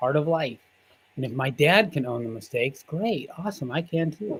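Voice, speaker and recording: This is an ordinary speaking voice with lively intonation. It moves at a moderate pace. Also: man. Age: 50s. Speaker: healer. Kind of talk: casual interview.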